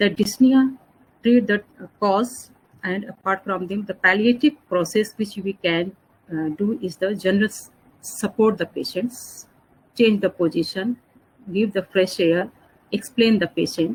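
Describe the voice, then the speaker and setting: A somewhat breathy woman's voice at medium pitch, with long, frequent pauses. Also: ordinary pitch variation. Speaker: pain and palliative care doctor. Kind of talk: lecture. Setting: online webinar. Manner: fast.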